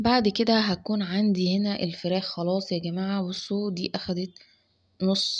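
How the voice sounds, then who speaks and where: Against a quiet background, a woman speaks fairly slowly in a somewhat breathy voice with monotone, flat intonation. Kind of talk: cooking tutorial. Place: kitchen. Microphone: phone near.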